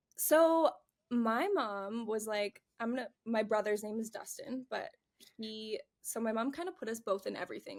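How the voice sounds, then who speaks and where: In a very clean recording with a silent background, a woman with a Canadian accent speaks at a fairly high pitch with ordinary pitch variation. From Canada, Calgary, Alberta. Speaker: curve model and makeup artist. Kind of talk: podcast interview. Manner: loud; animated.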